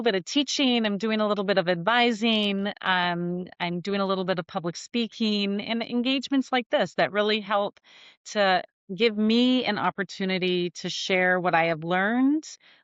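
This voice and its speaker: With an unremarkable speaking voice, a woman speaks at a moderate pace in a medium pitch with ordinary pitch variation. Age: 50s. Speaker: former federal emergency management official. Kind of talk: podcast interview.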